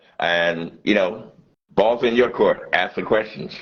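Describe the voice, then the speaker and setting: A man talks at a moderate pace. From US Northeast, Philadelphia. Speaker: radio host and MC. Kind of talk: interview. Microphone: unstable connection, freezing.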